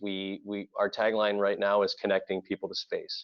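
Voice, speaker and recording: A man speaks at a moderate pace with a slight Floridian accent. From Florida. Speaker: audiovisual integration company representative. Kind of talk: webinar presentation.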